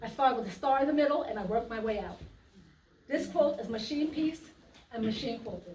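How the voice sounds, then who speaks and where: Speaking very fast in a New York accent, a woman uses lively intonation at a fairly high pitch, leaves long, frequent pauses, and has audible room echo around her. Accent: New York twang. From US Virgin Islands, earlier New York. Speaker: quilter. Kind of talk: talk at a quilt trunk show.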